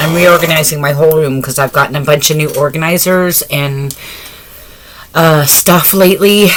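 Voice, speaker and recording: Noticeable noise fills the background. The talking proceeds at a moderate rate. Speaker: craft YouTuber. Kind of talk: casual vlog chat. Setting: home, late at night. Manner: speaking quieter than usual; talkative, normally loud.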